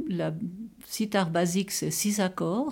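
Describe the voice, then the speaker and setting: Her voice sits at a medium pitch, and this woman's tone is dark and mellow. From Gruyère, French-speaking Switzerland. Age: 80s. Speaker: retired nurse and amateur zither player. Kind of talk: personal interview testimony. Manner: halting, with many repetitions.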